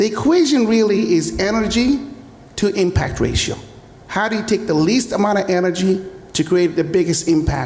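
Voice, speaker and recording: Lively intonation and very even loudness mark speech at a moderate pace, heard with audible room echo and noticeable background noise. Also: man, high pitch for a man. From UAE. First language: Arabic. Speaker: tech entrepreneur. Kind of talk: panel discussion. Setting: stage with audience.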